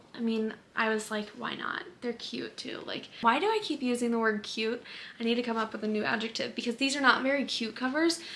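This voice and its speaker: Background noise is noticeable throughout. The woman's pitch is fairly high, and her intonation stays fairly even. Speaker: book vlogger. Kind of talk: casual chat.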